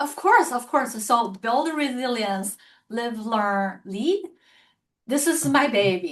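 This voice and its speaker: Speaking very slowly with a Chinese accent, a woman uses a high pitch with very wide pitch swings. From China. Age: 50s. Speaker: author and publisher. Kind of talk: interview conversation.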